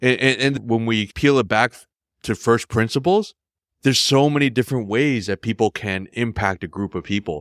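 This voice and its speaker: A plain, everyday voice from a man, medium in pitch, with ordinary pitch variation, at a moderate pace, on a very clean recording with a silent background. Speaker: startup founder and CEO. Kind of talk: casual chat.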